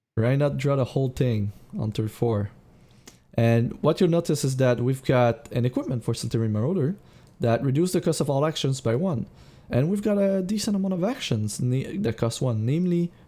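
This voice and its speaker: This man has a fairly high pitch and a dark, mellow, somewhat breathy tone with lively intonation. He keeps a moderate pace with long, frequent pauses. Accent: non-native. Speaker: card game streamer and coach. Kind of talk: live gameplay commentary. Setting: live charity stream. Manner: hesitant, many fillers and restarts.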